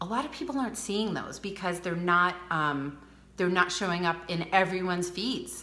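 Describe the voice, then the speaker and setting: A woman's medium-pitched voice with ordinary pitch variation, audible room echo, and noticeable background noise. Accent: Rhode Island. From US Northeast, Rhode Island. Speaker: beauty advisor. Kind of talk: live social media training. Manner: fast.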